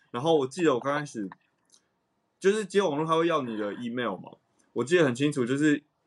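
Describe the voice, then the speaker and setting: Lively intonation from a man with a fairly high voice, talking at a very fast pace broken by long, frequent pauses. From Taiwan. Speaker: jazz saxophonist. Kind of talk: casual chat.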